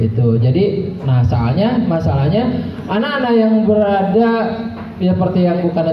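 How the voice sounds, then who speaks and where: A man's voice moves through very wide pitch swings, with audible room echo and light background noise. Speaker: police officer presenting road safety material. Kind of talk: school outreach talk to students. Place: hall. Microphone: handheld.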